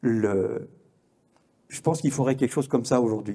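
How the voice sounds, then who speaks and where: The voice has a dark, mellow tone and ordinary pitch variation, captured in a very clean recording with a silent background. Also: man. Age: 70s. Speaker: journalist and conference speaker. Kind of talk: conference talk. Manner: halting, many hesitations and repetitions.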